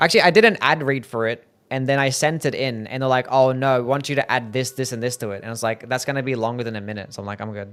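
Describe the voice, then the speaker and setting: A man with an Australian accent at medium pitch, very fast, with ordinary pitch variation. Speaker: video game streamer. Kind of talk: live gameplay stream chat. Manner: casual, upbeat.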